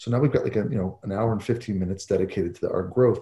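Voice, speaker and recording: A man talks at a medium pitch in a dark, mellow, somewhat breathy tone. The recording is very clean, with a silent background. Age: 40s. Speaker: psychologist and author on coaching. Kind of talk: podcast interview.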